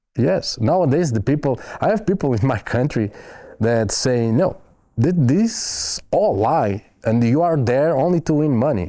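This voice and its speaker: A man speaks with a fairly high pitch and very wide pitch swings. His loudness stays very even. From Portugal. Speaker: foreign volunteer soldier. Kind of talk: interview. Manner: halting, with hesitations and repeats.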